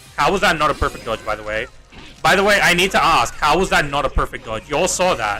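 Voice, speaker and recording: Loud and animated, a man with a high pitch talks at a very fast pace with very wide pitch swings as music plays in the background. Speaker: gaming livestreamer. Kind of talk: casual livestream commentary while gaming.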